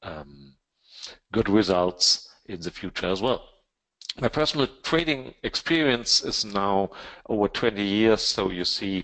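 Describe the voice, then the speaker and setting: A man with a German accent, fairly low-pitched, fairly slow, with lively intonation. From Germany. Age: 50s. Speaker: trading educator. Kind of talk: webinar presentation. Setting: online webinar. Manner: halting, many fillers.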